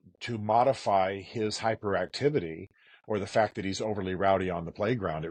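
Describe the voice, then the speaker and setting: At a moderate pace, a man with a plain, everyday voice speaks against a quiet background. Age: 60s. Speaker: author and speaker. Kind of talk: interview conversation.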